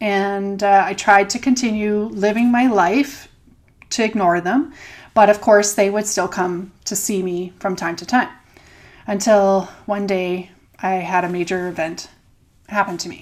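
Speaking in a Canadian accent, a woman holds a medium pitch with fairly even intonation. Her loudness swings widely. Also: fairly slow pace. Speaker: podcast co-host, doula and energy healer. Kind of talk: personal storytelling. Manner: hesitant with fillers.

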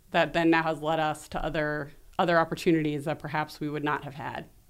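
A woman with a plain, everyday voice speaks at a moderate pace and a fairly low pitch, in a very clean recording with a silent background. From New York City. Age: 40s. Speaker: public relations agency founder. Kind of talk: interview.

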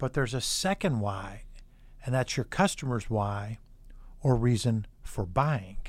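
On a very clean recording with a silent background, a man speaks fairly slowly at a medium pitch with lively intonation. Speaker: podcast host. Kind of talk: casual interview with son. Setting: studio.

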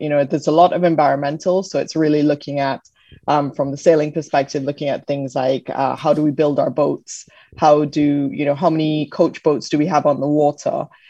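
In a British accent, a woman speaks at a fairly quick pace with a very deep, low pitch, a dark, mellow tone and monotone, flat intonation. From British Jamaican. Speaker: Paralympic sailor. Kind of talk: interview.

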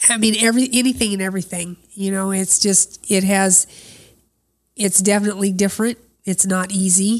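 A woman with an American accent, medium-pitched and monotone, with flat intonation at a moderate pace. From Des Moines, Iowa. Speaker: farmer's wife and camp cook. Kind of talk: testimony interview. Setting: on location at the farm, sharing a mic.

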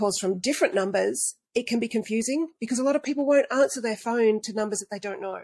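In an Australian accent, a woman talks at a fairly quick pace and fairly high pitch with ordinary pitch variation, on a very clean recording with a silent background. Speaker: marketing consultant.

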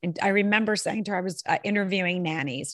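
In a quiet background, a woman talks in an animated tone. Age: 40s. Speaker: storyteller and podcast host. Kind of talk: casual interview. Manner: fast.

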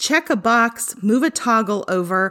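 On a very clean recording with a silent background, a woman with a fairly high voice talks at a fairly slow pace in an animated tone, her intonation lively. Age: 40s. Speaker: attorney and podcast host. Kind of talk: solo educational talk.

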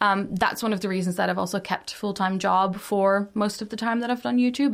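Very fast and marked by vocal fry, a woman's speech carries a Dutch accent and ordinary pitch variation. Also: very clean recording, silent background. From Netherlands. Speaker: YouTuber and digital producer. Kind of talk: interview conversation.

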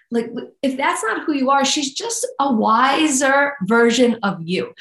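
A woman's lively intonation in a New York accent, at a fairly slow pace. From New York, Staten Island. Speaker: nutrition coach and author. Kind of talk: interview conversation.

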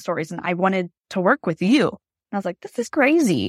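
A woman's medium-pitched voice at a fairly quick pace, dry and close with no echo, on a very clean recording with a silent background. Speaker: family photographer and coach. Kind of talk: podcast interview. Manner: jumps around, scattered.

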